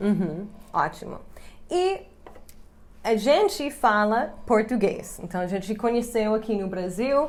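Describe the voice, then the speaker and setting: The speaker is a woman. She has an English accent. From US, Chicago. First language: English (speaking Portuguese). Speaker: English teacher and YouTuber. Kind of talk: casual chat to camera.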